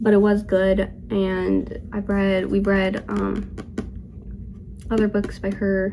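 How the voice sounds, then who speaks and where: The recording carries noticeable background noise along with audible room echo. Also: woman. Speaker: book vlogger. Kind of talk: casual chat. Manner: casual, filler-heavy.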